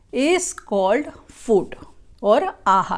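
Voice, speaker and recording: Very slowly, a woman speaks in a high pitch. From India. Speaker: religious teacher. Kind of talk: lecture.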